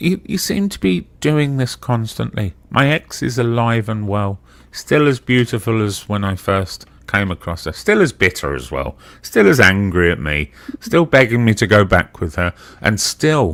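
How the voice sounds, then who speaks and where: A man with a slight Brummie accent speaks at a moderate pace. His fairly low pitch swings very widely. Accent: slight Brummy. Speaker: live stream participant. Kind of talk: casual chat.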